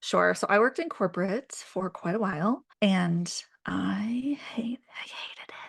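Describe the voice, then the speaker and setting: Against a quiet background, a woman speaks at a fairly slow pace with vocal fry. Her intonation is lively, and her loudness swings widely. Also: medium pitch for a woman. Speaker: brand strategist. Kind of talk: casual chat.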